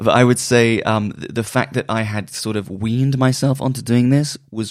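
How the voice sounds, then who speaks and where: A man with a West Country accent talks with ordinary pitch variation on a very clean recording with a silent background. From Bristol, England. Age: 30s. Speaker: music journalist and magazine publisher. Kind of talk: casual interview.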